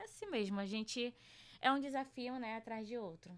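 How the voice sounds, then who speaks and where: The woman speaks with fairly even intonation. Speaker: journalist and researcher. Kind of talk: podcast interview.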